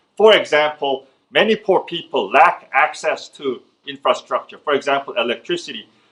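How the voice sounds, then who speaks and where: A man with a Korean accent talks at a moderate pace. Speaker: economist. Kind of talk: lecture. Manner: halting, many fillers and restarts.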